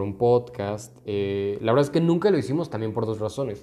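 A man is speaking. Music plays in the background. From Mexico, Guanajuato. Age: 20s. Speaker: podcast host, lawyer. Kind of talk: casual monologue. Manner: hesitant, many fillers.

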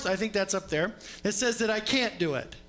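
Music sounds behind a man's voice. He talks fairly quickly, his pitch varying in an ordinary way. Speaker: preacher. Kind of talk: sermon. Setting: church.

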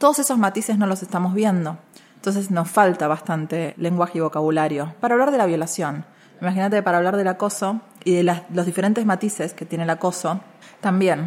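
A woman with an ordinary speaking voice talks at a fairly quick pace, her medium pitch showing ordinary variation. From Argentina, Buenos Aires area (Caseros). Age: young. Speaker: feminist lawyer and activist. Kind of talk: interview conversation. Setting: university venue.

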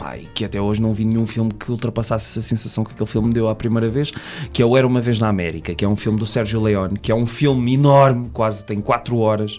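A man at medium pitch talks at a very fast pace with fairly even intonation over noticeable background noise. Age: 20s. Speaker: podcaster and film production assistant. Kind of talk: casual chat.

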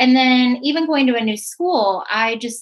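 Somewhat breathy, a woman's fairly high voice moves through ordinary pitch variation. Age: 30s. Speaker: teacher and girls empowerment coach. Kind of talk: interview podcast.

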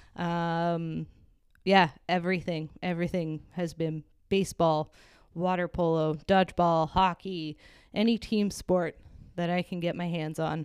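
A woman speaks in a Canadian accent at a fairly low pitch, her intonation monotone and flat. The recording is very clean, with a silent background. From Hamilton area, Ontario, Canada. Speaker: client experience manager. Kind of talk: casual interview.

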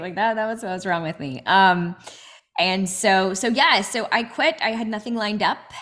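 A woman talks at a moderate pace. Hers is a plain, everyday voice with ordinary pitch variation. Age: 30s. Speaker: inspirational speaker and coach. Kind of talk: interview. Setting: remote call.

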